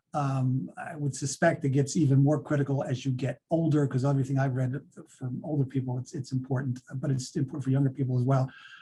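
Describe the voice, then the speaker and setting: A man's dark, mellow voice, somewhat breathy and fairly high-pitched. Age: 60s. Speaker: author and speaker on men's health. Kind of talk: webinar Q&A. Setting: video webinar.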